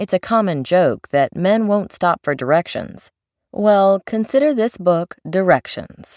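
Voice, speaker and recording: A woman in a normal speaking voice talks at a fairly slow pace and medium pitch with lively intonation, the sound dry and close with no echo in a very clean recording with a silent background. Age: 40s. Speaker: audiobook narrator and author. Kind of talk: audiobook reading.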